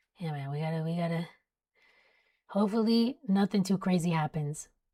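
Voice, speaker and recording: A woman with an American accent speaks fairly slowly in a somewhat breathy voice at a medium pitch with ordinary pitch variation, on a very clean recording with a silent background. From South Florida. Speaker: weather live streamer. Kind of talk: live stream commentary. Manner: casual, chatty. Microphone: close mic.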